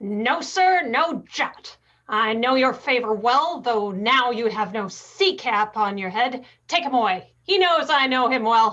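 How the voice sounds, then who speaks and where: A woman puts on a character voice, pitched high. She speaks at a fairly slow pace. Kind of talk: Shakespearean verse reading. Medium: stage play. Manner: curt, authoritative.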